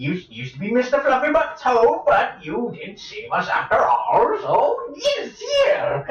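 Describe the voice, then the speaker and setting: A put-on character voice runs at a moderate pace with hardly any pauses. Light background noise and a slight echo are present. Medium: actual play. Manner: rambling, fussy, old-fashioned.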